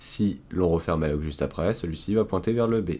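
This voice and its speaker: A man with a French accent talks at a fairly quick pace with lively intonation. The recording is very clean, with a silent background. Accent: self-described poor English pronunciation. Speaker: cybersecurity tutorial youtuber. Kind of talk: screen-recorded coding tutorial. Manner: casual, with fillers and restarts.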